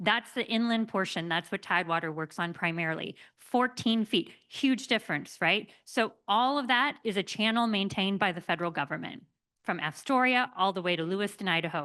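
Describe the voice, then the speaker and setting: Against a quiet background, a woman with an American accent speaks at a medium pitch and a moderate pace, her tone bright and sharp and her intonation lively. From Oregon. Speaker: barge company communications manager. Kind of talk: conference panel presentation.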